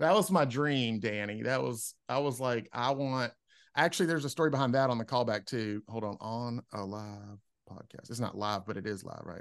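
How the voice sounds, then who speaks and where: This man has a plain, everyday voice with medium pitch and ordinary pitch variation. He talks at a moderate pace against a quiet background. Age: 50s. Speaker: stand-up comedian. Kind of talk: casual chat.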